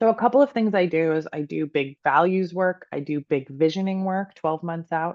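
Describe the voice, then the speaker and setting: A woman's plain, everyday voice, fairly low in pitch with ordinary pitch variation, at a moderate pace with hardly any pauses. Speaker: Reiki master and career coach. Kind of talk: casual interview chat.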